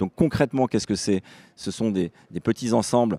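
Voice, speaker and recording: Recorded very cleanly against a silent background, a man speaks at a moderate pace with a fairly low pitch and a dark, mellow tone, the sound dry and close with no echo. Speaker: housing organisation representative. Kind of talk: panel discussion. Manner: talkative, with fillers and restarts.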